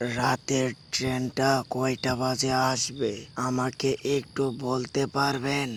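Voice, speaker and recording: A man does a cartoonish character voice, speaking very slowly in a flat monotone. Background noise is clearly audible. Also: medium pitch for a man. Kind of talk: horror storytelling.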